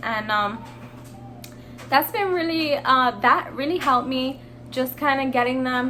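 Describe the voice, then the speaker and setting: Over music in the background, a woman with a high pitch talks at a moderate pace with ordinary pitch variation. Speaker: pet vlogger. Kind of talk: casual vlog talk. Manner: hesitant, many fillers.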